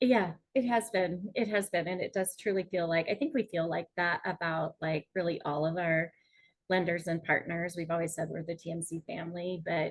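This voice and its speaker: Somewhat breathy and fairly low in pitch, a woman speaks with a slight Minnesota accent. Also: ordinary pitch variation, moderate pace. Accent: Minnesota accent, long O, slight. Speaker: mortgage industry executive, webinar host. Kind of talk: live webinar chat.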